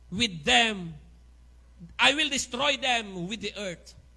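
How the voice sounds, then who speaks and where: Against a quiet background, a man speaks in a raised, projected voice. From Philippines. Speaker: preacher. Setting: church with congregation. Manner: warm, fervent, with light humor, building to praise and worship. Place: church.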